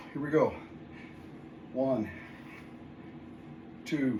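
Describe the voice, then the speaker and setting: There is audible room echo around this man's fairly high-pitched voice. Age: 60s. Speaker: fitness video host. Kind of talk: workout tutorial. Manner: counting reps aloud between exertion breaths.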